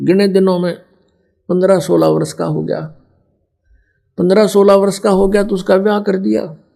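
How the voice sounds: This voice has a dark, mellow tone and vocal fry, with little pitch movement. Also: man, high pitch for a man, moderate pace.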